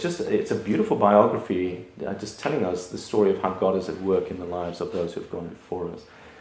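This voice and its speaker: Audible room echo surrounds the speaker. He is a man talking at a fairly quick pace. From South Africa. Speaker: pastor. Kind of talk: lecture.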